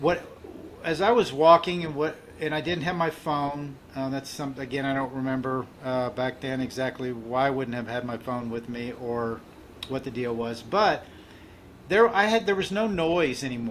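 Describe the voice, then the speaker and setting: At a moderate pace, the voice rises and falls with lively intonation. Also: man, medium pitch for a man. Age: 60s. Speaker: mental health advocate and author. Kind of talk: interview testimony. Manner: halting, many fillers and restarts.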